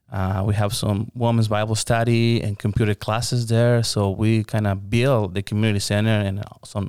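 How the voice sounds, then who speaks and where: Dark, mellow tone and monotone, flat intonation mark this man's moderate-paced speech. He talks with a Spanish accent on a very clean recording with a silent background. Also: dry, close sound with no echo. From Mexico, Hermosillo. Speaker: pastor. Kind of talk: interview.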